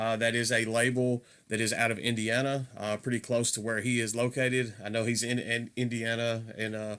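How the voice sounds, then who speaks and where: With a Southern US accent, a man speaks at a moderate pace in monotone, flat intonation. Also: medium pitch for a man. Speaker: metal music YouTuber. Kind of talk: casual video review. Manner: hesitant, many fillers.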